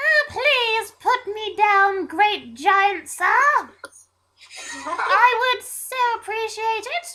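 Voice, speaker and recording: A squeaky, put-on character voice at an extremely high pitch and a very slow pace. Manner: polite, pleading.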